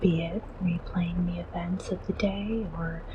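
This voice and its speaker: Soft-spoken and fairly low-pitched, a woman speaks at a very slow pace with fairly even intonation. Background noise can be noticed. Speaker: VTuber. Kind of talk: ASMR bedtime welcome.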